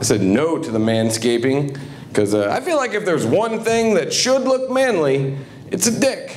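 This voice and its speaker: Speaking fairly slowly with a fairly high pitch and very wide pitch swings, a man with an American accent is heard amid audible room echo and noticeable background noise. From southern Ohio. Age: 30s. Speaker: comedian. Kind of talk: stand-up. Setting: stage with audience.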